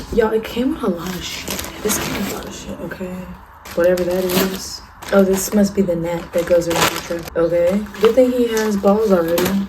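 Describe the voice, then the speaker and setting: A quiet, animated woman's voice at medium pitch and a fairly quick pace, with big swings in loudness, audible room echo and noticeable background noise. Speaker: vlogger, young mother. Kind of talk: casual vlog. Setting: at home, apartment.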